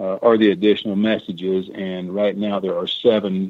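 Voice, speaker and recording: With an American accent, a man talks in a plain, everyday voice at a fairly low pitch and moderate pace. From Missouri. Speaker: treasure diver and author. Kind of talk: radio interview. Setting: radio show.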